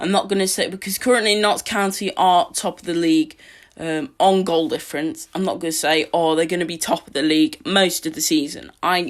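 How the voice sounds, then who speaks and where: On a very clean recording with a silent background, a woman of medium pitch speaks at a moderate pace with an English accent and lively intonation. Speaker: football podcaster. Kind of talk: solo match preview podcast. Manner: halting, many fillers.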